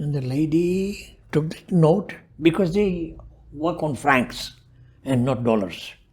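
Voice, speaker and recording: This woman's pitch is very deep and low, and her voice is somewhat breathy. She talks at a very slow pace with lively intonation. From Tanzania, Tanga. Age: 80s+. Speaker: community elder. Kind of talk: interview storytelling.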